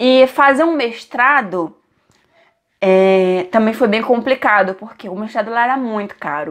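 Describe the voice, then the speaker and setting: Lively intonation at a fairly slow pace, with big swings in loudness against a quiet background. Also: woman, fairly high pitch for a woman. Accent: Brazilian. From Brazil. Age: 20s. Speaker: vlogger. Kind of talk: casual vlog talking to camera.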